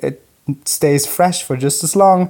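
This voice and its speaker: Speaking with a German accent, a man uses a high pitch. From Germany, Munich. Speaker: listener sending audio question. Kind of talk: recorded voice message. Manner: animated.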